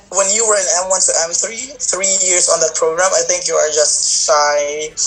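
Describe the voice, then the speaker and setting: Noticeable background noise sits under the voice. The delivery holds a moderate pace. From Philippines. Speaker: English teacher. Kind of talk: interview.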